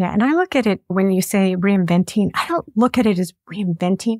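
A woman's enthusiastic, lively-intoned voice, dry with no echo, against a quiet background. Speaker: podcast host. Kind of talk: interview. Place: home room. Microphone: studio mic.

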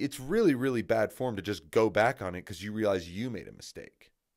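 With a quiet background, a man speaks at a fairly low pitch with ordinary pitch variation. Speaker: football commentator. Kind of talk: opinion commentary monologue. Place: home room. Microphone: studio mic.

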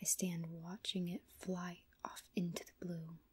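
A woman speaks with a dark, mellow tone and a somewhat breathy quality. The background is quiet. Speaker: story reader. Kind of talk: audiobook-style narration. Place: home room. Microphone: earbuds.

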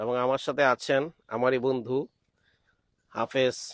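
A man speaks at a medium pitch in a monotone, flat delivery. The sound is dry and close, with no echo. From Bangladesh, Brahmanbaria (Nabinagar). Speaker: vlogger and Islamic cleric. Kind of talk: travel vlog narration. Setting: outdoors in rice fields.

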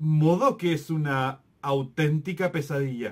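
The background is quiet as a man speaks in a furious tone. His pitch variation is ordinary. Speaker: film review youtuber. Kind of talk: angry rant, scathing movie review. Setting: home-recorded video, solo to camera. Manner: furious, sarcastic and exasperated, with bursts of disbelief. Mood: critical, exasperated. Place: home room.

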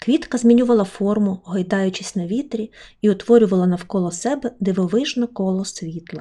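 Unforced voice, reading

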